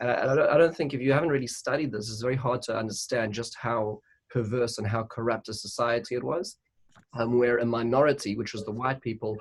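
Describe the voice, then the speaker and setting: A man speaks very fast with a South African accent, his medium-pitched voice keeping a fairly even intonation. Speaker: rabbi. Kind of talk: interfaith panel discussion. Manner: halting, many repetitions.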